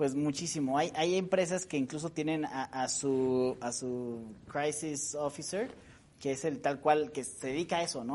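Speaking fairly slowly, a man has a normal speaking voice, pitched fairly high, with ordinary pitch variation. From Mexico, San Luis Potosí. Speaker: public relations expert. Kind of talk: interview.

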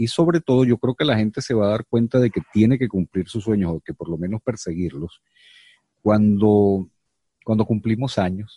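A man talks at a fairly quick pace in a fairly low voice with a dark, mellow tone. His pitch varies in an ordinary way, and the sound is dry and close with no echo. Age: 50s. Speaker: podcast host and actor. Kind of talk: casual chat.

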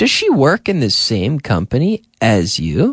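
Very wide pitch swings mark a voice with an American accent, heard in a dry, close sound with no echo over a quiet background. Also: man. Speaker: English teacher radio host. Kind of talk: radio English lesson. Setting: studio.

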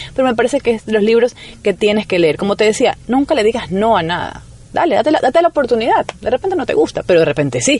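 A fairly high-pitched woman's voice at a very fast pace, with very wide pitch swings and vocal fry. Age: 30s. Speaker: writer and journalist, radio broadcaster. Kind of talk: radio interview.

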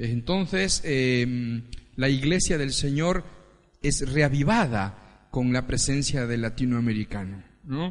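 With audible room echo, a man of medium pitch speaks at a very slow pace and ordinary pitch variation. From Ecuador. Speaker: pastor. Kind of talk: sermon.

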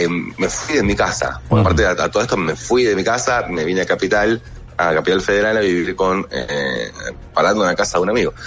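A man speaks at a very fast pace with a very deep, low pitch and lively intonation. Noticeable background noise runs behind him. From Buenos Aires, Argentina. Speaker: actor and film director. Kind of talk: radio interview.

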